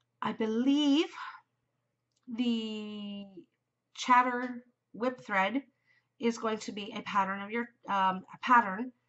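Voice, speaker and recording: A woman speaks very slowly with long, frequent pauses, her fairly high voice showing ordinary pitch variation and big swings in loudness. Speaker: knitting podcaster. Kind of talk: casual chat. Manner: yawning.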